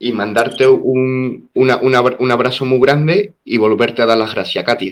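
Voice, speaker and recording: A man talks at a medium pitch and a moderate pace, his pitch varying in an ordinary way. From southern Spain. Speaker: interviewer. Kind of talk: interview.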